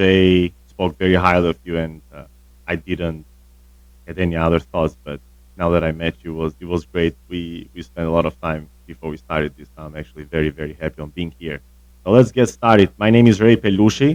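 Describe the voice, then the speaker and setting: With an Albanian accent, the voice moves at a fairly quick pace, showing big swings in loudness and ordinary pitch variation. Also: man, very deep, low pitch for a man. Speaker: tennis coach. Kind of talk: casual interview.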